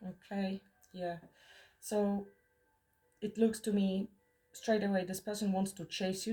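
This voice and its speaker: A woman's somewhat breathy voice, dark and mellow in tone, medium in pitch, at a fairly slow pace. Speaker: tarot reader. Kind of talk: tarot reading monologue. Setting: in the mountains.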